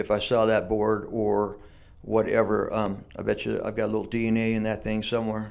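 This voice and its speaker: Talking at a fairly quick pace, a man uses a medium pitch with vocal fry. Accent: American. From San Diego, California. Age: 60s. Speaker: surf shop owner. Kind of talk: casual interview. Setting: shaping room with echo.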